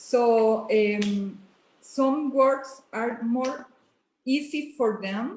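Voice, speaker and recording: Speaking very slowly in a Spanish accent, a woman uses a high pitch with ordinary pitch variation. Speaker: bilingual parent. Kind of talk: casual interview chat. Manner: halting.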